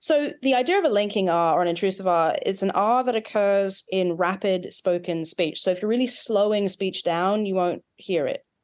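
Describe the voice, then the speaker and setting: A woman speaks at a medium pitch with an Australian accent, her loudness very even. She hardly pauses, against a quiet background. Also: ordinary pitch variation, moderate pace. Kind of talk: explanatory, academic.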